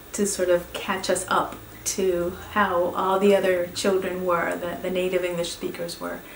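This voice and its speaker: A woman speaks at a medium pitch with a Spanish accent. The room echo is audible, and background noise is noticeable. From Venezuela (Caracas). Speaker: professor. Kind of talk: course introduction talk. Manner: halting.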